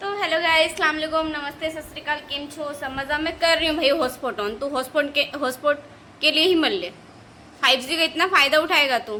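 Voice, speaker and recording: A woman speaks at a moderate pace in a high, raised, projected voice with ordinary pitch variation. Noticeable background noise sits behind her. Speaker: vlogger. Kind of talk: casual vlog chat. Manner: animated.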